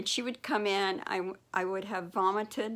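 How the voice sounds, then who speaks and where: At a moderate pace, a woman speaks at a medium pitch with fairly even intonation on a very clean recording with a silent background. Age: 60s. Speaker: vlogger with narcolepsy. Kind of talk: personal testimony.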